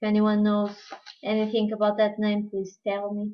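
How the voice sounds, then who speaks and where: In a Portuguese accent, a woman talks at a fairly slow pace with a medium pitch. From Portugal. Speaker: crafting tutorial host. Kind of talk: live-streamed craft tutorial. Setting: live stream. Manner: halting, non-fluent English.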